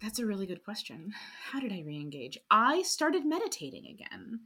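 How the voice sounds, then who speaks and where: In an American accent, a woman speaks in a bright, sharp tone with very wide pitch swings. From Chicago, South Side; then rural North Carolina from 13. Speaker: filmmaker and podcaster. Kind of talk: interview conversation. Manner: animated.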